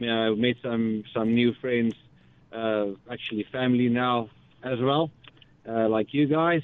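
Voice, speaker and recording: Using a normal speaking voice, a man talks at medium pitch and a fairly slow pace with fairly even intonation. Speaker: safari outfitter. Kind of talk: radio interview.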